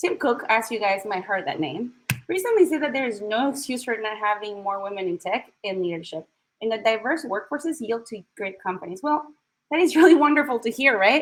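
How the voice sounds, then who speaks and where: A woman with a strong Chilean accent, fairly quick pace and very wide pitch swings. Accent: thick Chilean Spanish. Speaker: tech recruiter and diversity speaker. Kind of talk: talk at an online event. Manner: direct.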